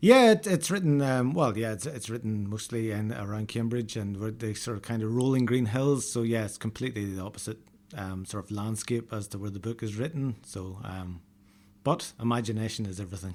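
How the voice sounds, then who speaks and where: A man with an Irish accent speaks at a fairly quick pace, his pitch medium with ordinary variation. The recording is very clean, with a silent background. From Northern Ireland, north coast countryside. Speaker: novelist. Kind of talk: interview. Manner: hesitant, many fillers.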